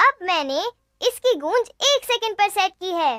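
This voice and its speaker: Put-on character voice, squeaky and extremely high in pitch, delivered at a moderate pace. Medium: fan dub. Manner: patient, explanatory.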